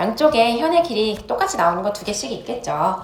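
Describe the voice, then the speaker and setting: A woman with a fairly high pitch talks at a fairly quick pace amid noticeable background noise and audible room echo. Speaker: math teacher. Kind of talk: lecture. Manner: fast.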